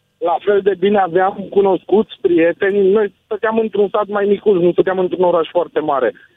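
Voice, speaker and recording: Hardly pausing, a man talks at a moderate pace with high pitch, fairly even intonation, and very even loudness. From Sibiu, Romania. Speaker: caller returned from UK. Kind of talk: casual call-in chat. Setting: phone call.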